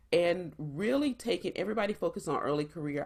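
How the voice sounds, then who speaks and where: A woman with a South Carolina accent talks at a moderate pace with very wide pitch swings, on a very clean recording with a silent background. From US South, South Carolina. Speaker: startup founder and engineer. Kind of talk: presentation.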